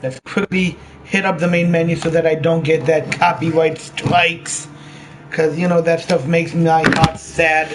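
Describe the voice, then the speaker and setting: Flat, monotone delivery at a moderate pace, over noticeable background noise. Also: man, high pitch for a man. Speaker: gaming live streamer. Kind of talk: live stream gameplay commentary. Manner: casual, with frequent ums and restarts.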